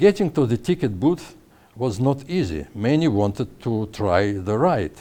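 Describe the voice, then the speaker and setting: Man's dark, mellow voice in a Russian accent, with very wide pitch swings at a fairly slow pace. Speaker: author. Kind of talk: reading his own story aloud.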